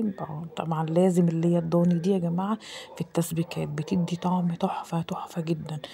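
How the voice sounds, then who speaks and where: With noticeable background noise behind her, a woman speaks in a fairly low pitch and a monotone, flat intonation. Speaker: home cooking vlogger. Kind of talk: cooking vlog voiceover. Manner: casual, halting with repetitions.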